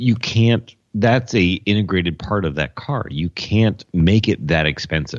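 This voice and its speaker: A man with an American accent, a very deep, low pitch, vocal fry and lively intonation, talking fairly slowly with hardly any pauses. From Detroit. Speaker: podcast co-host.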